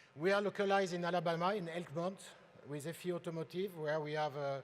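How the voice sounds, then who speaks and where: Speaking with a French accent, a man has a high pitch. He moves at a fairly quick pace with fairly even intonation. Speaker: industry presenter. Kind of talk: conference presentation.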